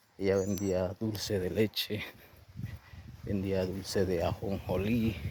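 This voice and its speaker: A man's fairly low voice with a La Guajira accent, very slow and monotone, with flat intonation. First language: Wayuunaiki (speaking Spanish). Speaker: professional sharing life story. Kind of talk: motivational testimony.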